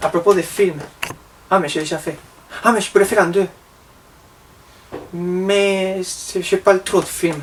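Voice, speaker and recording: A man's high voice in a Spanish accent, fairly slow, with long, frequent pauses and noticeable background noise. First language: Spanish (speaking French). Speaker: vlogger. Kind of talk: comedic vlog monologue.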